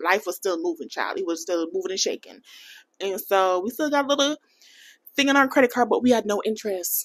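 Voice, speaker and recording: Animated in tone, a woman with a fairly high voice speaks at a fairly quick pace, her pitch swinging very widely. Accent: American. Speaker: personal finance vlogger. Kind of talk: casual vlog talk to camera.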